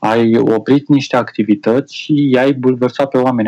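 Here a man talks at a medium pitch with a dark, mellow tone. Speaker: IT specialist and TV presenter. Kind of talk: casual chat.

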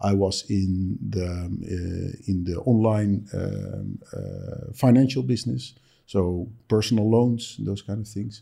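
A man with a Dutch accent, fairly low in pitch, dark and mellow in tone, with ordinary pitch variation and a very slow pace. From Netherlands. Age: 50s. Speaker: entrepreneur. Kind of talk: interview. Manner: halting.

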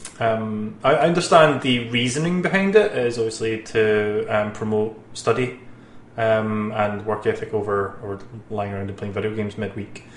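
Man at a moderate pace with ordinary pitch variation, amid noticeable background noise. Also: medium pitch for a man. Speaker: gaming show host. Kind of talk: casual chat. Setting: studio.

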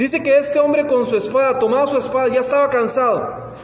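The voice carries a Costa Rican accent, with noticeable background noise behind it. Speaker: preacher. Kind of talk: sermon. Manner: halting.

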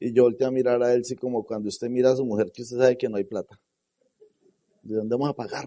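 A man with a dark, mellow tone speaks at a very fast pace in a monotone, flat intonation. Long, frequent pauses break up his speech. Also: medium pitch for a man, dry, close sound with no echo. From Colombia. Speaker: network marketing leader. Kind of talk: motivational talk.

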